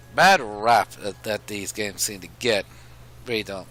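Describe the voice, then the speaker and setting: A man talks at a fairly slow pace and a fairly low pitch. His voice has vocal fry and ordinary pitch variation. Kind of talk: casual commentary, video game opinions. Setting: headset microphone. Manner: halting, stuttering.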